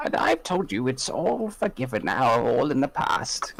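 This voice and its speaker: Someone uses a put-on character voice at a moderate pace. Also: man, fairly high pitch for a man. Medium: actual play. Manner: gentle, doting.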